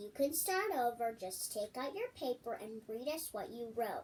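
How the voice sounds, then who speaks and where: Using a put-on character voice, a woman speaks high-pitched at a moderate pace with lively intonation. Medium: read story. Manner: measured, dry.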